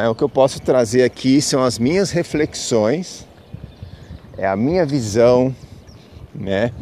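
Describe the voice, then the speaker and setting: At a very slow pace, a man speaks at a medium pitch with ordinary pitch variation and long, frequent pauses. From Brazil, São Paulo city. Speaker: spiritual podcaster. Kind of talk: casual spiritual monologue. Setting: outdoors, walking to the beach. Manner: halting, many fillers.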